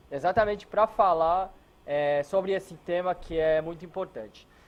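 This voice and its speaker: A man's speech moves at a moderate pace, his intonation lively throughout. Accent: non-native. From Israel. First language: non-native Portuguese speaker, from Israel (speaking Portuguese). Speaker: hotel security consultant. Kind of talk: lecture. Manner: halting, many filler words.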